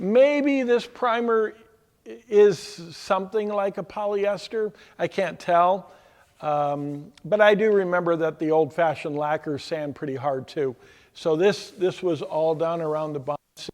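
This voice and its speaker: A man's fairly slow, high-pitched voice with lively intonation against a quiet background. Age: 60s. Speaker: auto body painter and instructor. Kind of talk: tutorial. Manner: casual, halting with fillers.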